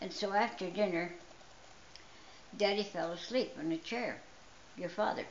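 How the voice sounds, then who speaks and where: The talk goes at a moderate pace with long, frequent pauses and ordinary pitch variation. Noticeable background noise runs underneath. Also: woman, medium pitch for a woman. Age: 80s+. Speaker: storyteller. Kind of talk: personal storytelling.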